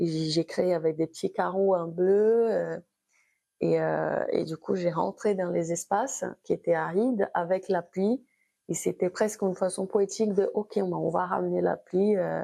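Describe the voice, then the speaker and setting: Over a quiet background, a woman speaks at a fairly slow pace, the sound dry and close with no echo. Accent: Brazilian. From Brazil. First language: Brazilian Portuguese (speaking French). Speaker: abstract painter. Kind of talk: interview. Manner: halting.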